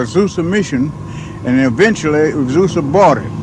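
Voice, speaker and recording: With an American accent, a man talks at a moderate pace in a fairly high pitch, his intonation lively over noticeable background noise. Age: 70s. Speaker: revival eyewitness. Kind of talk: testimony.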